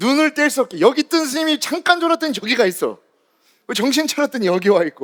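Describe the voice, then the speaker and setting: A man speaks at a fairly quick pace in an animated tone, his extremely high pitch making very wide swings. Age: young. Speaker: Buddhist monk lecturer. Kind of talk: lecture. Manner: fast.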